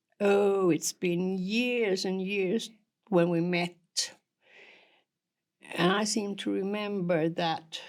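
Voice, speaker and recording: A woman's medium-pitched voice at a very slow pace, fairly even intonation, and a very clean recording with a silent background. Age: 70s. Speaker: podcast guest. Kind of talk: casual chat. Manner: halting.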